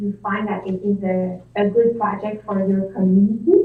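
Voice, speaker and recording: This woman speaks with a strong Quebec accent and a medium pitch. Her intonation stays fairly even. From Quebec, near Quebec City. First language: French. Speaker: nursing instructor and health researcher. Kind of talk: presentation to town council. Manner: hesitant, many fillers.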